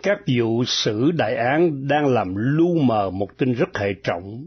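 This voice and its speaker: With hardly any pauses, a man speaks at a medium pitch in a somewhat breathy voice that swings very widely in pitch. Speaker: radio news reader. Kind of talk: news reading. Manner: formal.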